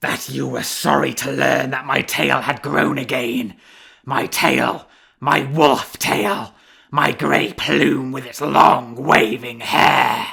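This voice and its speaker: In a put-on character voice, a man growls gruffly at a medium pitch and a very slow pace. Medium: read story. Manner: growling, gruff.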